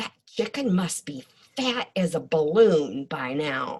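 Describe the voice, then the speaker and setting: A woman's growling, put-on character voice, very deep and low in pitch, at a fairly slow pace. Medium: read story.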